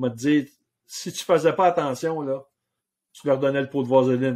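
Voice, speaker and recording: The speaker talks in a Quebec accent with ordinary pitch variation. Loudness rises and falls in big swings. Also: man, fairly high pitch for a man, moderate pace. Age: 60s. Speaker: outfitter and hunting guide. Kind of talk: casual interview chat.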